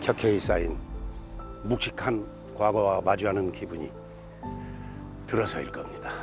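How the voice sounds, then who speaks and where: Music plays behind a man with a fairly low pitch and lively intonation. He speaks at a moderate pace, leaving long, frequent pauses. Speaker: actor. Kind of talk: documentary narration.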